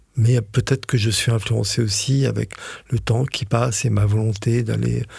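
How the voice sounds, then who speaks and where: A man's somewhat breathy voice holds a very even loudness. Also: medium pitch for a man, fairly even intonation, moderate pace. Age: 60s. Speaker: osteopath. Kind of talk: casual chat. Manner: hesitant, many fillers.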